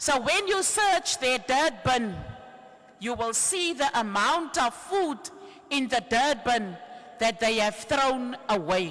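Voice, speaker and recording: Speaking at a very slow pace with a Cape Town accent, this voice swings very widely in pitch while keeping its loudness very even, with noticeable background noise behind it. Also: woman, high pitch for a woman. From South Africa, Cape Town. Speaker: trade union activist. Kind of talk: rally speech.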